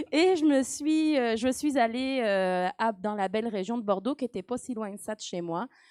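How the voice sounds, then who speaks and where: The very clean recording has a silent background and a dry, close sound with no echo, the speech flowing with lively intonation and hardly any pauses. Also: woman, fairly high pitch for a woman, moderate pace. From France, Nantes (Saint-Herblain). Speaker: professor of marine biogeochemistry. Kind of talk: interview. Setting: live stream with audience. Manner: hesitant, many fillers.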